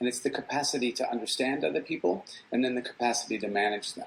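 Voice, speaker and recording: A man speaks in an unremarkable speaking voice with an American accent. His pace is fairly quick, with ordinary pitch variation. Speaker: psychology professor. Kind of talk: guest talk answering questions.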